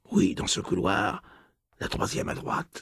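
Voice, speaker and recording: Whispering in a raspy put-on character voice, a man speaks at a moderate pace. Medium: read story. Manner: low-voiced, whispering.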